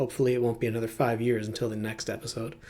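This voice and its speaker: Here a man talks at a very fast pace. His voice is somewhat breathy. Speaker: podcast host. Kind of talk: scripted outro.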